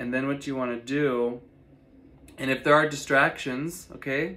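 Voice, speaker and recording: A man talks at a moderate pace with fairly even intonation. His tone is soothing yet bright and sharp. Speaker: meditation guide and astrologer. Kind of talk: guided meditation. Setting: online video, solo. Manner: soothing, steady and directive. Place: home room. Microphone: phone near.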